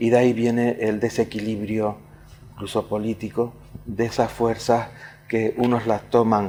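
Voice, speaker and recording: Noticeable background noise runs under a man talking at a fairly slow pace. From Canary Islands, Tenerife (La Laguna). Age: 70s. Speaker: writer and poet. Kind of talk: interview. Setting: casino hall. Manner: halting, many fillers and repetitions.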